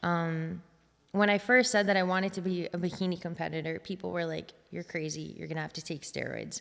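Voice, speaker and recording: Fairly low-pitched and quick, a woman with a plain, everyday voice speaks with an American accent and fairly even intonation. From United States. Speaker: fitness competitor and posing coach. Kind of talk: casual interview chat.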